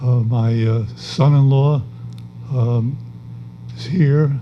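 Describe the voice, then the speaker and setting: Speaking very slowly, a man with an American accent uses a medium pitch and fairly even intonation. Noticeable background noise and audible room echo are present. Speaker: retired judge and former politician. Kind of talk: on-stage interview at an awards event. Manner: halting.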